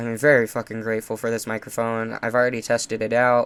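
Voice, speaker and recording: This man has a medium pitch. He speaks at a fairly quick pace. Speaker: gaming YouTuber. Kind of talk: casual gameplay commentary. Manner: casual, filler-heavy.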